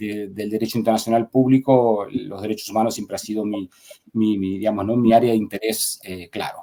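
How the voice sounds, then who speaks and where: With an Argentine accent, the speaker moves at a fairly quick pace in a flat monotone. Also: man, fairly low pitch for a man. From Argentina, Buenos Aires province. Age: 40s. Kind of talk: interview. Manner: halting, many fillers and repetitions.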